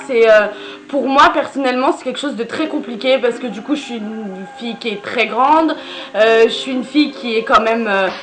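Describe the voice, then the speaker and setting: A woman speaks at a moderate pace with a high pitch and ordinary pitch variation. Her loudness swings widely, with music in the background. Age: 20s. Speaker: YouTuber. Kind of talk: casual vlog chat. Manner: hesitant, many filler sounds.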